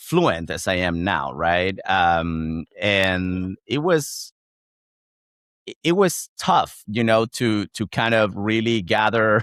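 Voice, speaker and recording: In a very clean recording with a silent background, a man with a Chilean accent and fairly low pitch speaks very slowly with lively intonation. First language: Spanish. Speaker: founder of a job-sharing community for communicators. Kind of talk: podcast interview. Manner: hesitant, with many fillers and repetitions.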